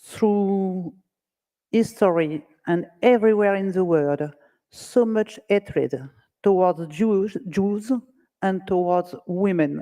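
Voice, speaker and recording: In a dark, mellow tone with ordinary pitch variation, the voice moves at a very slow pace with long, frequent pauses. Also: woman, medium pitch for a woman. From France. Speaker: politician. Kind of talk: prepared speech.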